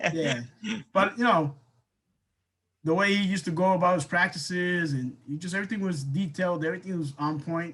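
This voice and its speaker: Loud and high-pitched, a man speaks at a fairly quick pace with ordinary pitch variation and long, frequent pauses. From New England, Colombian background. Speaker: basketball coach. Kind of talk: casual interview. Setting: podcast interview.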